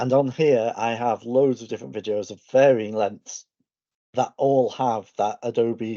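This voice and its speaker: A man speaks with a slight northern English accent. His voice sits at medium pitch with fairly even intonation. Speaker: educator. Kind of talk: online presentation.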